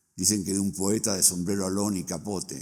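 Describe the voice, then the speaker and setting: A man speaks at a moderate pace in a very deep, low voice with a dark, mellow tone. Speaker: book launch speaker. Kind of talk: reading aloud. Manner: formal.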